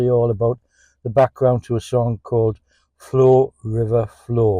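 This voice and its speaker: The dry, close sound with no echo carries a man's medium-pitched voice, dark and mellow in tone, with fairly even intonation. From England. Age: 70s. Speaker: songwriter and musician. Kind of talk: casual podcast monologue. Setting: in a parked car.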